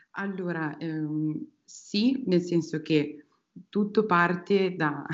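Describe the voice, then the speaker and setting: A woman talks with fairly even intonation. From Emilia-Romagna, Italy (Piacenza). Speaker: UX designer. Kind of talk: interview. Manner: halting, many repetitions and fillers.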